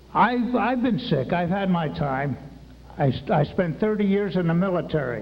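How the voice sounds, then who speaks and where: Over noticeable background noise and audible room echo, a man with a high pitch speaks at a moderate pace. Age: 70s. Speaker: retired military veteran speaking at a public meeting. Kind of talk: public comment at a town hall. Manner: halting, repeats words; agitated, worked up.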